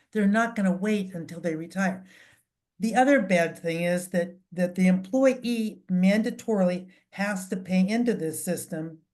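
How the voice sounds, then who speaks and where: Somewhat breathy, a woman speaks at a medium pitch and moderate pace with ordinary pitch variation. The background is quiet. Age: 70s. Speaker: financial advisor. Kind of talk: town hall talk. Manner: halting, many fillers.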